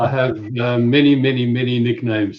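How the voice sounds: A man with a South African accent talks at a medium pitch, his intonation fairly even. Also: moderate pace.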